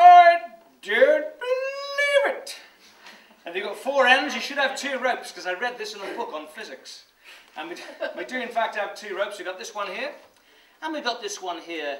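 A man at a moderate pace, with big swings in loudness, long, frequent pauses and audible room echo. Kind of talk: comic magic patter. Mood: playful, joking. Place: stage.

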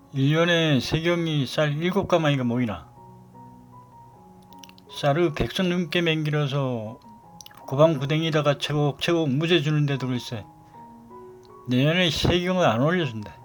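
With music in the background, a man with a Gangwon accent and fairly high pitch speaks at a fairly slow pace, leaving long, frequent pauses. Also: ordinary pitch variation. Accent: Gangneung dialect. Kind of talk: dialect monologue.

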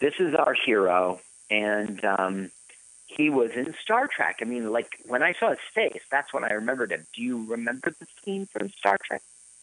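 Bright and sharp in tone, a man's medium-pitched voice moves at a moderate pace with lively intonation. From US East Coast. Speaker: podcast co-host. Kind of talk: casual chat. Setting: live radio broadcast.

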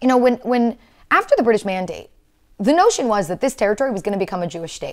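An animated tone against a quiet background. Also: woman. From Israel. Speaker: historian and advocacy speaker; speaker. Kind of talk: interview discussion. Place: studio.

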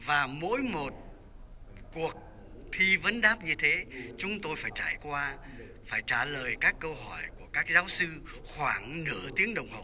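A man with a high pitch speaks very slowly, with lively intonation, big swings in loudness and long, frequent pauses, over light background noise. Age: 80s+. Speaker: former law student, memorial organizer; former student remembering a professor. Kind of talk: memorial speech. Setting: church memorial event. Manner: hesitant with filler sounds. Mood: warm, reminiscing. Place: church. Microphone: handheld.

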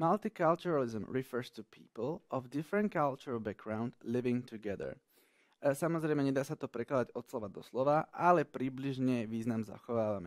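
A man speaks in a plain, everyday voice at medium pitch and a moderate pace with lively intonation, recorded very cleanly with a silent background and a dry, close sound with no echo. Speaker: English teacher. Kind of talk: tutorial.

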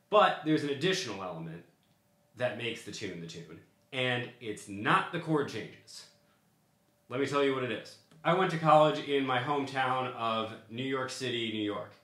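A man speaks at a moderate pace with long, frequent pauses. Audible room echo fills the recording. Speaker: music teacher. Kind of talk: tutorial. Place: home room.

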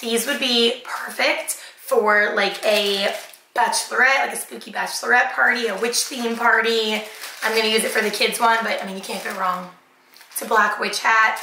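At a moderate pace, a woman talks against noticeable background noise. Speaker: haul vlogger. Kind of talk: casual vlog chat. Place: kitchen.

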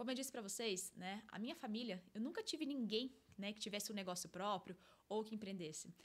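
Somewhat breathy and fairly high in pitch, a woman speaks at a fairly quick pace with ordinary pitch variation. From interior of São Paulo state, Brazil (Limeira); São Paulo state, Brazil. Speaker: life coach and podcast host; life coach, podcast host. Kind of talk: solo monologue podcast, personal story. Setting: studio. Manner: animated. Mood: warm, motivational. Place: studio. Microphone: studio mic.

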